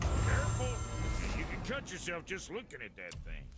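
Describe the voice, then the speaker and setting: A put-on character voice is heard over loud background noise. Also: man, moderate pace. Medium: video game. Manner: gruff, crude, folksy.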